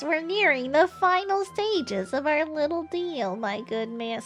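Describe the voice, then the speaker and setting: A woman uses a put-on character voice at a high pitch. Music plays clearly in the background. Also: moderate pace. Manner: silly.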